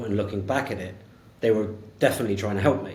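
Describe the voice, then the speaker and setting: A man's fairly low, somewhat breathy voice with fairly even intonation and audible room echo. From England, Devon. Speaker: sales executive. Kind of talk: casual interview chat.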